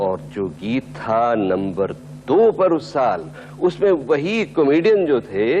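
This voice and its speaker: A man speaks with very wide pitch swings. Noticeable background noise is present. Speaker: radio and TV host (countdown show presenter). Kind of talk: radio-style music countdown compering. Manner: warm, engaging, conversational.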